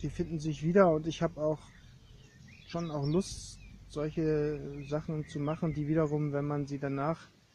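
A man speaks at a fairly slow pace in a flat, monotone delivery. His tone is dark and mellow, and a little breathy. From East Germany. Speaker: artist and art historian. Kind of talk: casual conversation. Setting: outdoors on a meadow.

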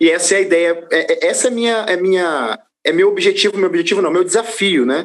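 A man speaks in a high pitch with very even loudness. His delivery is fairly quick. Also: ordinary pitch variation. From Brazil, Rio de Janeiro. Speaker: gospel singer and presenter. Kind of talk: casual interview. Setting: studio.

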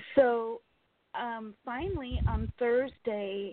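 A woman with an American accent talks in a normal speaking voice. Her pitch is fairly high, with ordinary pitch variation. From California, US. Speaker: caller. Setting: phone call.

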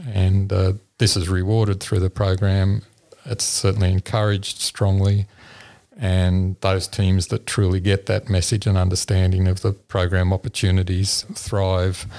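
In a very clean recording with a silent background and a dry, close sound with no echo, a man with an Australian accent speaks at a moderate pace in a very deep, low voice with a dark, mellow tone, monotone, flat intonation, and very even loudness. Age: 60s. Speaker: engineering professor and competition judge. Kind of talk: interview. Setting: at a school competition event.

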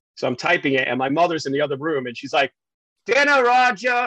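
A man with a New York accent speaks in a raised, projected voice, his bright, sharp tone leaping through very wide pitch swings in a dry, close sound with no echo. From New York City, Queens (early years Staten Island). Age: 50s. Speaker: TV news reporter. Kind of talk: casual interview chat. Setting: remote from home.

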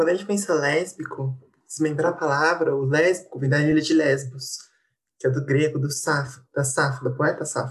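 With a very deep, low pitch, a woman speaks in a somewhat breathy voice and fairly even intonation. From interior of São Paulo state, Brazil. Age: 20s. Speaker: literature student and researcher. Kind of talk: casual discussion.

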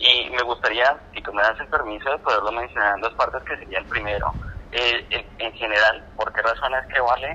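Against noticeable background noise, a man's speech moves fairly quickly. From Colombia. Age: 20s. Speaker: audiovisual producer. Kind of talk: interview. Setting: phone call. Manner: halting.

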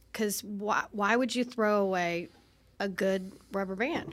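A woman's medium-pitched voice, a plain, everyday voice, with ordinary pitch variation, moderate pace, and a very clean recording over a silent background. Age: 50s. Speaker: podcast co-host. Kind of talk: casual chat. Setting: studio.

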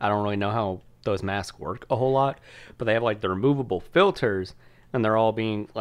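A man talks in an ordinary speaking voice with ordinary pitch variation. The background is quiet. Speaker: podcast co-host. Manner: casual, frequent swearing.

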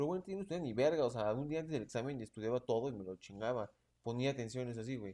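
Lively in intonation, a man with a Mexican accent talks at a very fast pace. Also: medium pitch for a man. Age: 20s. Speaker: law student. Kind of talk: casual chat.

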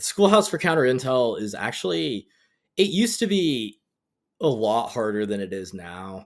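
A man with an American accent talks at a moderate pace and a medium pitch, with very wide pitch swings and big swings in loudness. The recording is very clean, with a silent background. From North Carolina. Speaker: Marine veteran, former counter-intelligence. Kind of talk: casual interview chat.

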